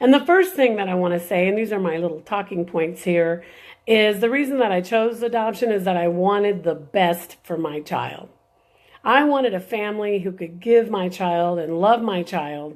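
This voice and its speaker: This woman has a plain, everyday voice at a medium pitch. She speaks at a moderate pace with ordinary pitch variation. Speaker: birth mother and adoption advocate. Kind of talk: live video talk. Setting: live stream.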